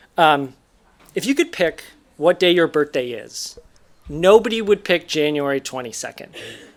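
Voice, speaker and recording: A man is speaking. His pace is moderate. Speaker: storyteller. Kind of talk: reading aloud a personal story.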